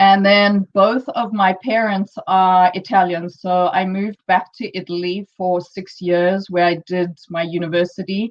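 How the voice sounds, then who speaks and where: With a South African accent, a woman of medium pitch speaks at a fairly slow pace in a monotone, flat way, hardly pausing. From South Africa, Johannesburg. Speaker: entrepreneur, conference speaker. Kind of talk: conference talk. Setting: online live-streamed conference.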